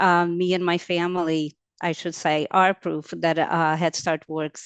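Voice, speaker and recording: Someone speaks at a fairly slow pace with a Portuguese accent and monotone, flat intonation, in a dry, close sound with no echo and a quiet background. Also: woman. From Brazil. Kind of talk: webinar panel testimony. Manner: halting, many fillers.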